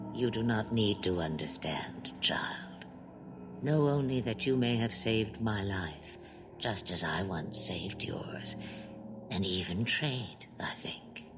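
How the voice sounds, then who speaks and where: A put-on character voice speaks at a fairly slow pace in a low pitch, with faint music in the background. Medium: machinima. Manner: cryptic, slow, knowing.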